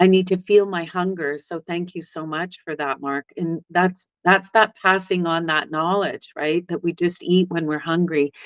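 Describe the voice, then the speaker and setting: A woman with a plain, everyday voice, fairly low in pitch and fairly even in intonation, at a moderate pace with hardly any pauses, in a dry, close sound with no echo. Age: 60s. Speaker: herbalist. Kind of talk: interview.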